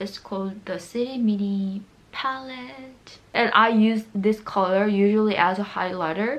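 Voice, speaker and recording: Noticeable background noise sits behind a speaker with a Korean accent. The delivery is fairly slow, with ordinary pitch variation. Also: woman, medium pitch for a woman. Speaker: beauty vlogger. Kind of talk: makeup tutorial. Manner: casual, chatty.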